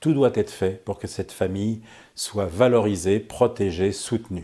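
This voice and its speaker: A man's dark, mellow voice at a fairly low pitch, with ordinary pitch variation and a fairly slow pace, on a very clean recording over a silent background. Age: 60s. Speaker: politician. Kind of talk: prepared political statement. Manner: hesitant, many fillers.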